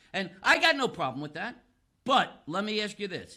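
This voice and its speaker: On a very clean recording with a silent background, a man projects a raised voice with a bright, sharp tone and lively intonation. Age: 60s. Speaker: physical therapist. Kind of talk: podcast interview. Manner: animated.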